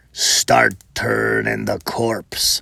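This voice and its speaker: A man growls through a put-on character voice, the sound dry and close with no echo. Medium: read story. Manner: gruff, bossy.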